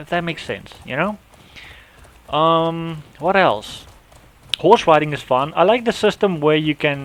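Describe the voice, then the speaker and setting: A man with a non-native accent speaks at a fairly slow pace in a fairly high pitch, with ordinary pitch variation. He takes long, frequent pauses, and his loudness swings widely. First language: not English. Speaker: gaming youtuber. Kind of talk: casual unscripted monologue. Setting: home recording app. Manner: halting, many restarts and fillers.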